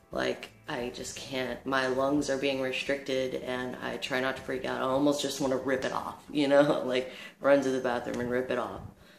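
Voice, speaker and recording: A man speaks at a moderate pace and medium pitch, with a monotone, flat intonation and hardly any pauses. Noticeable background noise and audible room echo fill the recording. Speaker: vlogger. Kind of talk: casual vlog monologue. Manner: halting, many fillers.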